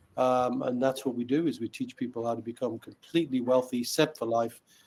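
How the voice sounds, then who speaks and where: At a moderate pace, a man speaks with fairly even intonation at medium pitch. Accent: Newcastle. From northern England, Newcastle upon Tyne. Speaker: wealth educator, company founder. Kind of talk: podcast interview.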